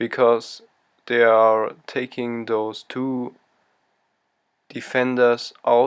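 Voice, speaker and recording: A man with a non-native accent speaks very slowly at a medium pitch, his intonation monotone and flat. The recording is very clean, with a silent background. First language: not English. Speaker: football tactics youtuber. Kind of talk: tactical analysis commentary.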